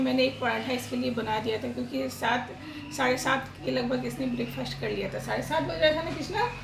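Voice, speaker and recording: A woman speaks at a moderate pace. Room echo is audible, and background noise is noticeable. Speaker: family vlogger. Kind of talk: casual vlog talk.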